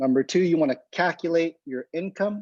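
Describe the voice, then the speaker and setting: In an ordinary speaking voice, a man talks at a moderate pace with ordinary pitch variation, the sound dry and close with no echo over a quiet background. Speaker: physical therapist and presenter. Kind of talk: lecture.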